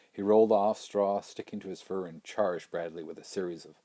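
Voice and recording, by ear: The speaker reads aloud in a natural voice, with intonation that barely rises or falls.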